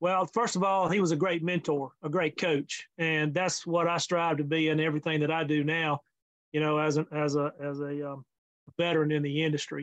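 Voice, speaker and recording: A man with a Mississippi accent talks at a fairly high pitch in a monotone, flat intonation. The sound is dry and close, with no echo. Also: moderate pace. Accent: Southern US (Mississippi). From US South, Mississippi. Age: 60s. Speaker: fencing industry consultant. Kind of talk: interview. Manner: hesitant, many fillers.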